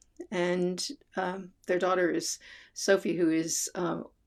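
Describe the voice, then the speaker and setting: A woman with an American accent and fairly low pitch speaks at a very slow pace. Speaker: vlogger. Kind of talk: casual chat. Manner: halting.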